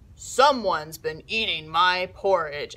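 In a put-on character voice, someone speaks gruffly at a fairly slow pace with a middle pitch.

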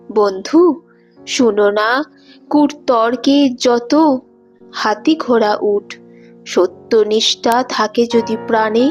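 Over music in the background, the voice shows ordinary pitch variation. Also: woman. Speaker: poetry reciter. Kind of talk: poetry reading.

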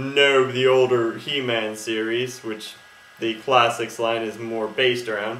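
A fairly slow pace with audible room echo. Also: man. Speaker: toy reviewer. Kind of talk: casual review vlog. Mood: playful, relaxed. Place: home room. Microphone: webcam.

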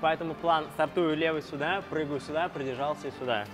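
A man at a very fast pace, fairly even in intonation, over noticeable background noise. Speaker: channel host. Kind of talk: tutorial. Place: gym.

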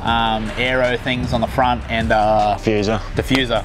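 There is noticeable background noise while a man speaks. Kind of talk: casual vlog chat. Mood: laid-back, joking. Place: street.

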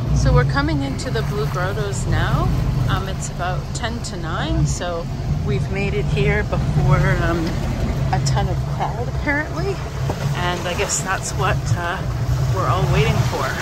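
Fairly slow speech with long, frequent pauses, loud background noise and a dry sound with no echo. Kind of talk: casual vlog chat. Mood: relaxed, mildly disappointed. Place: boat. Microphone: phone near.

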